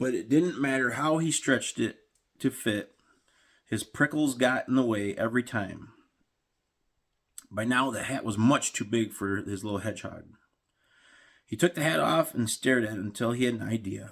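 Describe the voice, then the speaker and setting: A man's put-on character voice, raspy and medium in pitch, at a moderate pace with ordinary pitch variation and long, frequent pauses. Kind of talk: read-aloud storytelling. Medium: read story.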